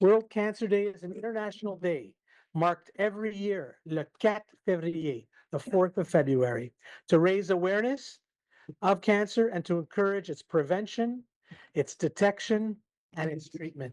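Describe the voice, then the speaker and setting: A man's high-pitched voice at a moderate pace, dry and close with no echo, over a quiet background. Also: ordinary pitch variation. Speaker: foundation president opening a public lecture. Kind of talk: formal welcome speech. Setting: hospital lecture hall with audience and Zoom.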